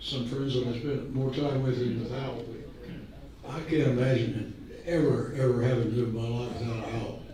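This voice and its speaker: A man's medium-pitched voice at a moderate pace, with audible room echo and noticeable background noise. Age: 90s. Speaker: old friend giving a tribute speech. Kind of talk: birthday party speech. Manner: halting.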